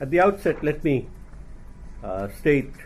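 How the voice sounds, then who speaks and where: A man speaks at a moderate pace with an Indian accent. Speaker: retired Indian government official. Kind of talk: talk at a think-tank event. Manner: formal.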